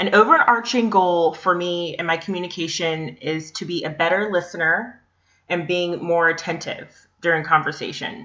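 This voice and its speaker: Here a woman speaks with an unremarkable speaking voice at a fairly low pitch. Her pace is moderate and her pitch variation ordinary. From US, Northern Virginia. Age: 20s. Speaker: graduate student. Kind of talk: class presentation. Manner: scripted, reading from slides.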